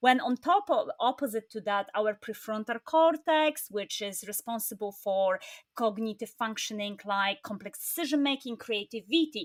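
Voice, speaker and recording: A woman with a fairly high pitch talks at a moderate pace with lively intonation. She hardly pauses, and the sound is dry and close with no echo. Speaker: happiness coach and podcast host. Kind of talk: casual interview chat.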